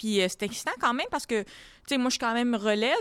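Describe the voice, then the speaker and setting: Ordinary pitch variation in a woman's fairly high-pitched voice. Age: 20s. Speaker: comedian. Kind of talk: casual chat.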